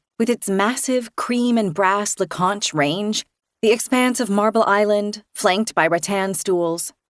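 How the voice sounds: Natural reading voice with quiet surroundings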